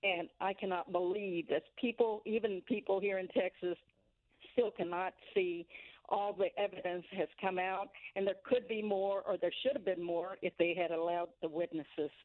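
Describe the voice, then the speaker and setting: A woman talks at a moderate pace, her medium-pitched voice showing ordinary pitch variation. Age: 60s. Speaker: caller. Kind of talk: call-in comment.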